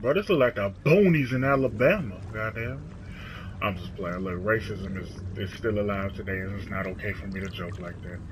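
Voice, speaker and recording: Over noticeable background noise and audible room echo, a man with a fairly low pitch speaks at a fairly quick pace, his loudness swinging widely. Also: ordinary pitch variation. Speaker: gamer commentator. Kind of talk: gameplay commentary. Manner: soft-spoken.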